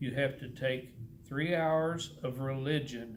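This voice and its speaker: There is audible room echo as a man with a Texan accent talks at a medium pitch with fairly even intonation. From Texas. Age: 70s. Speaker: churchgoer sharing faith story. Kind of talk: testimony. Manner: halting.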